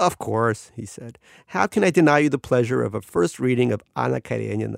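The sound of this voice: What comes through is an unforced reading voice.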